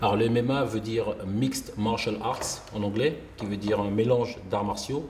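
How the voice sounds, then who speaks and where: Audible room echo surrounds a man with a fairly low pitch. He keeps a moderate pace and fairly even intonation. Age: 40s. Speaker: martial arts instructor. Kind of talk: tutorial.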